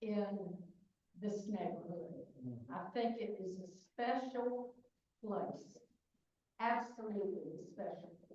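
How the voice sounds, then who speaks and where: In a dark, mellow tone with ordinary pitch variation, a somewhat breathy voice speaks at a very slow pace amid audible room echo. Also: woman. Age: 70s. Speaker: longtime resident. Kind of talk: brief thank-you remarks.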